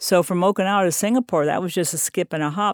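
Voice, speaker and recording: In a very clean recording with a silent background and a dry, close sound free of echo, a woman speaks in a plain, everyday voice at a fairly low pitch with ordinary pitch variation. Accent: American. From US military family, raised partly in Germany and Panama. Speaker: retiree and traveler. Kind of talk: interview.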